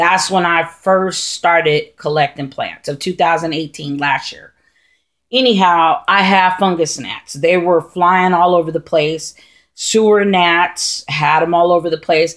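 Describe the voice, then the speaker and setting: A normal speaking voice at a fairly slow pace with fairly even intonation. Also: woman, fairly low pitch for a woman. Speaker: houseplant vlogger. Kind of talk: casual tutorial vlog. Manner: rambling with many fillers.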